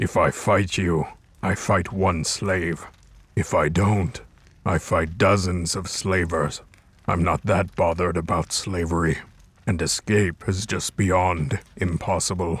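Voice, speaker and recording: A man's put-on character voice, very deep and low in pitch, at a fairly slow pace. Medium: machinima. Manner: calm, measured, formal.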